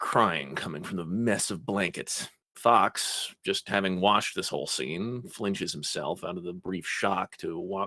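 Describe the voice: What's heard is plain reading aloud.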